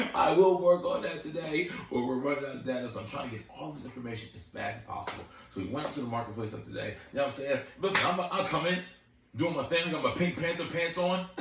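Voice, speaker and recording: At a very fast pace, a man speaks with a fairly high pitch, lively intonation and big swings in loudness. Audible room echo and noticeable background noise fill the recording. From Philadelphia, US Northeast. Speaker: dating commentary vlogger. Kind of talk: casual vlog monologue. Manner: animated, repetitive.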